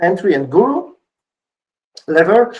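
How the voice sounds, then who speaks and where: The pace is fairly slow as this man speaks. Lively intonation marks his delivery. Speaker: conference speaker. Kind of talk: conference talk. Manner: energetic.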